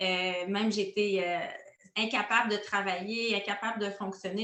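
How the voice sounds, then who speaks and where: Audible room echo surrounds a woman with a Quebec accent. She speaks at a fairly slow pace with fairly even intonation. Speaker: essential oils coach. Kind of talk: interview. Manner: hesitant, many filler sounds.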